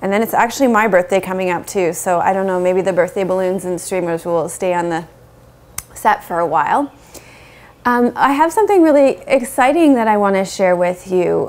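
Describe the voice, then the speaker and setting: A woman at a fairly quick pace, with lively intonation. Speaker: yoga teacher. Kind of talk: casual vlog chat. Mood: warm, upbeat. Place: home room. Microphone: lapel.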